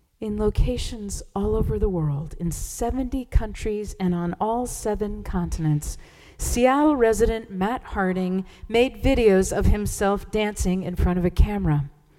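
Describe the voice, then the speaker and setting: A woman talks in a normal speaking voice with ordinary pitch variation. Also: medium pitch for a woman, fairly slow pace. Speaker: church service leader. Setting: church.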